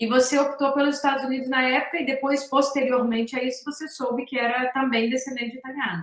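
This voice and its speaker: A woman's high-pitched, monotone, flat delivery at a very fast pace, with hardly any pauses. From Brazil. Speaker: podcast host. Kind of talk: podcast interview.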